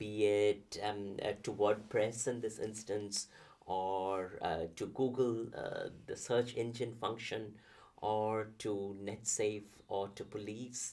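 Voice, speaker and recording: A man with a Bengali accent, with a fairly low, dark, mellow voice in a flat monotone at a very slow pace. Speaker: professor. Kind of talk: interview conversation. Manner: halting, many fillers.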